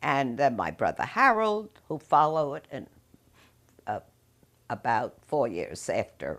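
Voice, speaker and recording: Pausing long and often, a woman speaks at a fairly slow pace with a New York accent. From New York City. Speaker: interviewee recounting family history. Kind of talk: oral history interview. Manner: halting.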